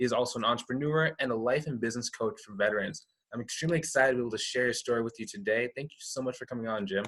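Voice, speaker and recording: A man speaks very fast at a medium pitch, with hardly any pauses. His pitch varies an ordinary amount. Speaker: interview show host. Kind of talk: interview.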